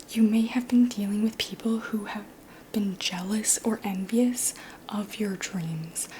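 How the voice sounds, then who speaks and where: Against noticeable background noise, a soft-spoken voice with a calm tone moves at a very slow pace. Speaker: tarot reader. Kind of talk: ASMR tarot reading. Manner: soft-spoken, calm.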